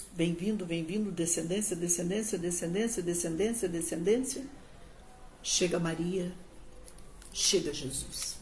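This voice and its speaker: Pausing long and often, a woman speaks at a fairly slow pace in a fairly low pitch with ordinary variation, and audible room echo surrounds her voice. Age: 60s. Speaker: pastor. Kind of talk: sermon. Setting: livestream on social media.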